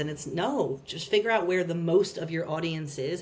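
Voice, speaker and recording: A woman with an American accent, fairly low pitch and a fairly quick pace, amid noticeable background noise. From United States. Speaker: marketing executive. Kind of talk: podcast interview.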